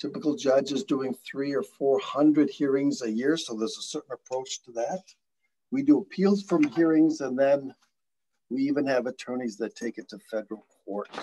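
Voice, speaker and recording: A man with a fairly high pitch and a dark, mellow tone talks at a moderate pace, his intonation lively and his loudness swinging widely. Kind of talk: presentation. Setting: video call. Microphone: video call.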